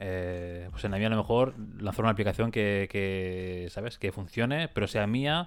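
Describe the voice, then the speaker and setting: Speaking at a moderate pace, a man with an unremarkable speaking voice has a fairly low pitch and ordinary pitch variation. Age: 20s. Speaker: podcast co-host and musician. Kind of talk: casual chat.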